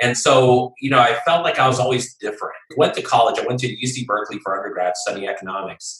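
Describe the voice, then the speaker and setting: A fairly quick pace with a General American accent. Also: man. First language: Japanese. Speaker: movement-building consultant. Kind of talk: interview.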